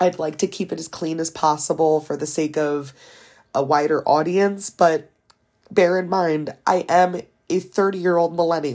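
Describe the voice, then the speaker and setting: A woman talks in a fairly low voice with an American accent. Her pace is fairly slow. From US East Coast. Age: 20s. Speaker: podcast host. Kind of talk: casual monologue.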